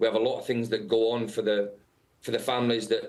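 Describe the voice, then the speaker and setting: Very fast speech from a man with a British accent and a medium pitch. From England. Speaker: football head coach. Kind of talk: interview. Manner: halting, many fillers.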